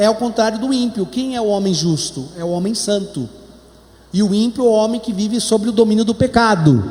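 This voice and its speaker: A man with a Brazilian accent over noticeable background noise. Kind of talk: sermon. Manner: slow.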